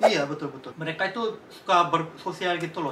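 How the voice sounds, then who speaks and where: Over noticeable background noise, a man with a Korean accent talks at a very fast pace with ordinary pitch variation. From Korean, raised in Indonesia. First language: Korean (speaking Indonesian). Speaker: Indonesian language teacher. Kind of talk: casual interview chat.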